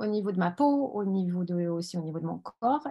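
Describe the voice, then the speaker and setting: A woman talks at a moderate pace, her voice somewhat breathy and her intonation lively. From Sète, southern France. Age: 40s. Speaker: beauty product seller, former pharmacy assistant. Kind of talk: online presentation. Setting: video call.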